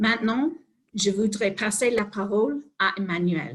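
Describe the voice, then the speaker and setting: The voice is somewhat breathy, with ordinary pitch variation and a very slow pace. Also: woman. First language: English (speaking French). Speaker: organisation executive, webinar opener. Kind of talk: formal webinar welcome. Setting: online webinar.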